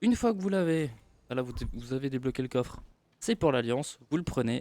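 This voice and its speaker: At a fairly quick pace, a man talks in a fairly high-pitched voice with a dark, mellow tone, recorded dry and close with no echo. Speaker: gaming video creator. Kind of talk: casual gameplay tutorial talk.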